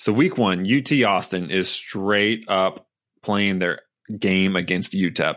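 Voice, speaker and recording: In a very clean recording with a silent background, a man with a plain, everyday voice talks at a fairly slow pace and fairly low pitch, with ordinary pitch variation. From US South. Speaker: sports podcast co-host. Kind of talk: casual chat.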